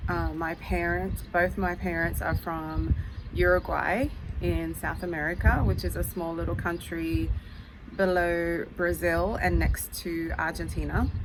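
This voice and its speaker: A woman with an Australian accent at a fairly slow pace, with audible room echo and noticeable background noise. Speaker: YouTuber. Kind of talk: casual vlog talk. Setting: outdoors on front porch. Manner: hesitant with many fillers.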